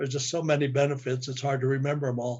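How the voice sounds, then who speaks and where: A man speaks in a fairly high pitch. His voice is somewhat breathy. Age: 80s+. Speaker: customer giving testimonial. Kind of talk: testimony. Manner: halting.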